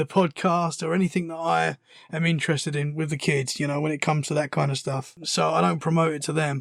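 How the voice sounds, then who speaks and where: A man with a British accent talks at a fairly quick pace in a fairly high pitch. The recording is very clean with a silent background, and the sound is dry and close with no echo. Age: 30s. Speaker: podcaster, guest. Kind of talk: casual interview chat.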